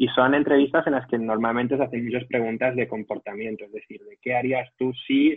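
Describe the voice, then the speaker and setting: A man at medium pitch with a Madrid accent, fairly quick and with hardly any pauses, fairly even intonation and big swings in loudness. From Madrid region, Spain. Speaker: tech company employee. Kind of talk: interview. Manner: hesitant with repetitions.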